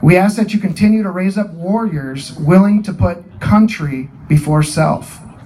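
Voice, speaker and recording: The speaker has an American accent, talks at a moderate pace with hardly any pauses and ordinary pitch variation, and there is noticeable background noise. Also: man, high pitch for a man. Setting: outdoor gathering in person to honor fallen.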